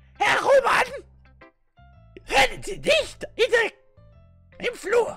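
A put-on character voice at an extremely high pitch moves at a very slow pace, with faint music in the background. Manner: scolding.

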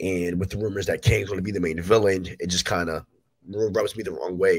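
A man speaks at a low pitch and a fairly quick pace. His voice has a slightly husky edge and fairly even intonation.

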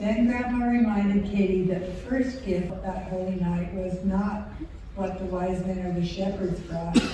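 Strong room echo and light background noise surround speech at a fairly slow pace with fairly even intonation. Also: woman. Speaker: storyteller narrator. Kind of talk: storytelling narration. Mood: warm, gentle, reverent. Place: stage.

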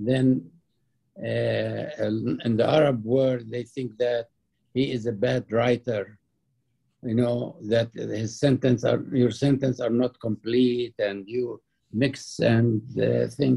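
Against a quiet background, a man with a dark, mellow, somewhat breathy tone talks at a very slow pace with fairly even intonation. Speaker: interviewee. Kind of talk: interview answer. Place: home room. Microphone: webcam.

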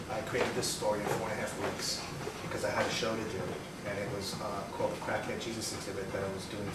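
Very fast speech from a man, with audible room echo and loud background noise. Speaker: interview guest. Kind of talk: interview answer. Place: home room.

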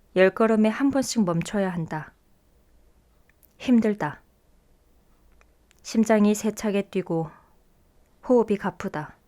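A woman speaks very slowly with long, frequent pauses. Her tone is dark and mellow. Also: medium pitch for a woman, ordinary pitch variation. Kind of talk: short story reading. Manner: clear, listener-friendly delivery.

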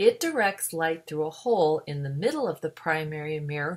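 A woman with an ordinary speaking voice, fairly low in pitch, with lively intonation at a moderate pace, in a very clean recording with a silent background. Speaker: science educator. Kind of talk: educational narration.

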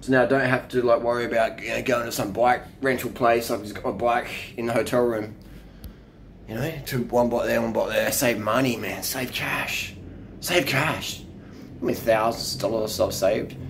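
A man at a moderate pace, fairly even intonation, light background noise. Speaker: cycling vlogger. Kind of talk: casual vlog chat. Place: home room. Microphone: phone near.

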